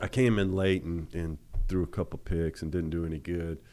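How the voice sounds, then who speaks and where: With a Louisiana accent, a man speaks at a moderate pace in a very deep, low pitch and a dark, mellow tone. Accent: Louisiana Southern US. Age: 50s. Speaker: former college quarterback. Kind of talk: interview. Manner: halting.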